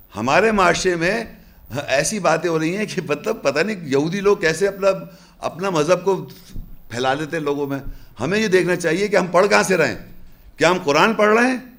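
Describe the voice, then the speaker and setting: At a fairly slow pace, a man speaks with a high pitch. His pitch variation is ordinary. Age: 50s. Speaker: religious lecturer. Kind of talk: lecture. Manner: animated. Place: hall. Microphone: lapel.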